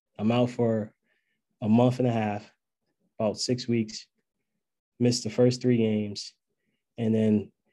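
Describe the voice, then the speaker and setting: Long, frequent pauses break up a man's flat, monotone delivery. His voice sits at medium pitch with a dark, mellow tone. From Maryland, Annapolis. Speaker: college basketball coach. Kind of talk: casual interview.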